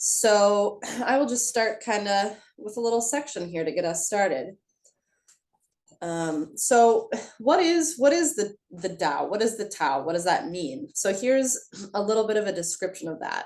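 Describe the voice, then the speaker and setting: Slow and full of long, frequent pauses, a woman speaks at a medium pitch with very wide pitch swings. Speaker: tai chi instructor. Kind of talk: class instruction. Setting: video call. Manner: hesitant, many fillers.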